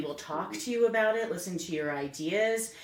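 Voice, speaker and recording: Noticeable background noise and audible room echo both surround the woman's voice. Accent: American. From New England, Connecticut. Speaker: small business owner, tour guide. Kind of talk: podcast interview.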